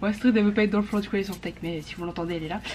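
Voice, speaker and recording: The voice belongs to a woman. Its pitch is medium. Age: 20s. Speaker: vlogger. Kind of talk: casual vlog chat. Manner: animated.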